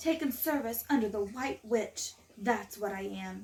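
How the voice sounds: Reading delivered in a natural voice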